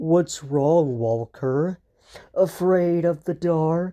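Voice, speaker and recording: This is a put-on character voice at a middle pitch, delivered at a very slow pace. The background is quiet. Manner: menacing.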